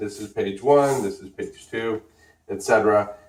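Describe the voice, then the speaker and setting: A man at a fairly slow pace. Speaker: art tutorial host. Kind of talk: tutorial.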